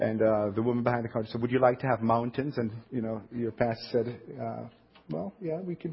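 At a fairly quick pace, a man with a Jamaican accent talks at a medium pitch with ordinary pitch variation. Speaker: pastor. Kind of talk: sermon. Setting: church.

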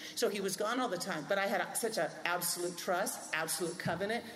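A woman at a medium pitch, speaking at a moderate pace over noticeable background noise. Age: 60s. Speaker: pastor. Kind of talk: casual chat.

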